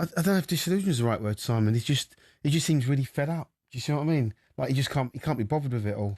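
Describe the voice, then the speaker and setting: A man's very fast, somewhat breathy speech with lively intonation and very even loudness over a quiet background. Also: medium pitch for a man, dry, close sound with no echo. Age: 60s. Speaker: former boxer, boxing pundit. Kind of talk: radio sports discussion. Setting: radio studio.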